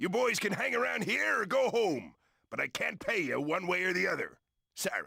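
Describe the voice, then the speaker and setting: A man does a put-on character voice with a high pitch at a moderate pace. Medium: video game. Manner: gruff, bossy.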